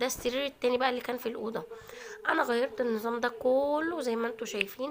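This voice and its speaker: With an Egyptian accent, a woman speaks fairly quickly in a high pitch and fairly even intonation, against noticeable background noise. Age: 20s. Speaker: cooking and lifestyle vlogger. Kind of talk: vlog narration. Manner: casual, chatty.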